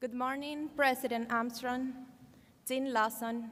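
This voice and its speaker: A woman speaks in a Cuban accent at a high pitch. Her delivery is a flat monotone at a fairly slow pace. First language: Spanish. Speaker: law graduate, valedictorian. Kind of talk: commencement speech. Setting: podium at graduation ceremony.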